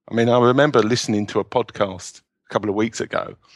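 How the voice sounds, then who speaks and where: A medium-pitched man's voice with a British accent, dry and close with no echo. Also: very clean recording, silent background. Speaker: self-publishing entrepreneur and novelist. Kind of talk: interview.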